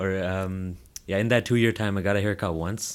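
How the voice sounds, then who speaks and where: In a very clean recording with a silent background, a man with a Toronto accent speaks at a moderate pace with a very deep, low pitch and fairly even intonation. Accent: Canadian English (Toronto area). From Brampton, Ontario, Canada. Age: 20s. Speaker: social media comedian. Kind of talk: casual interview chat.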